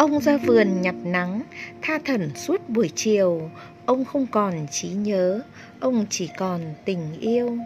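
Over background music, a woman speaks at a very slow pace with very wide pitch swings. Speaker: volunteer reader. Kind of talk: poetry reading for children.

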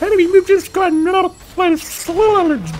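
Over clear background noise, a put-on character voice at an extremely high pitch moves at a moderate pace.

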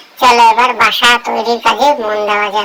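A cartoonish, female-sounding character voice, fairly high in pitch, monotone and flat, at a moderate pace. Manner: warm, earnest.

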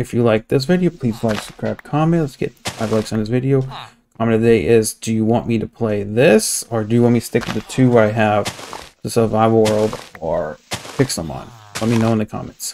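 Over light background noise, a man speaks. His pace is fairly quick, with ordinary pitch variation. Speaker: gamer streamer. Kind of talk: casual gameplay commentary. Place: home room.

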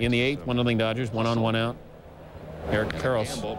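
Noticeable background noise is present. Through it comes a man's voice. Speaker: sports highlights anchor. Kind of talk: rapid-fire baseball highlights commentary. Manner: brisk, excitable calls with comic asides.

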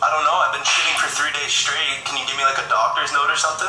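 With music in the background and audible room echo, a man talks at a very fast pace. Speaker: caller. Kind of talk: prank phone call. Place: home room. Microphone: phone near.

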